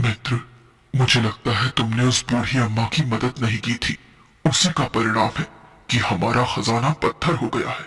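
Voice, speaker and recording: A man's cartoonish character voice at medium pitch, fairly even in intonation, at a moderate pace. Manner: gentle, calm.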